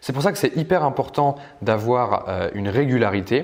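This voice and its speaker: The speaker is a man. His pitch is medium. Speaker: online marketing trainer. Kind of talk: tutorial. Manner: fast.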